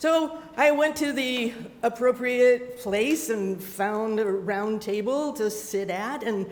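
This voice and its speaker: In a room with audible echo and noticeable background noise, a woman speaks in a fairly high pitch with ordinary pitch variation. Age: 70s. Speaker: storyteller. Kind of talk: storytelling. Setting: stage with audience.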